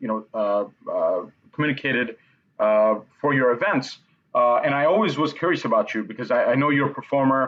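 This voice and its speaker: A man's plain, everyday voice, medium in pitch, at a moderate pace. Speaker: event platform interview host. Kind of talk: interview host talk.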